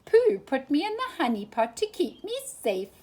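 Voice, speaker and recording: The speaker uses a squeaky put-on character voice with very wide pitch swings, at a moderate pace. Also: woman, high pitch for a woman. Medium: read story.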